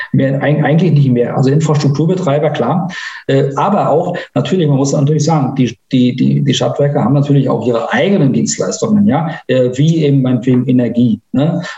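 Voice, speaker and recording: A man in a room with audible echo speaks in a fairly high voice at a fairly quick pace. He keeps his loudness very even and hardly pauses. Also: ordinary pitch variation. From northern Germany, Mecklenburg-Vorpommern. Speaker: IT entrepreneur. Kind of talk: interview.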